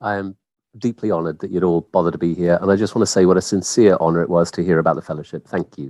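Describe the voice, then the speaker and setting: A man with a very deep, low pitch and an American accent, very fast pace, dry, close sound with no echo. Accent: British, drifted after 21 years in US. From England, Kent. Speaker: scientist. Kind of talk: interview. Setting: video call.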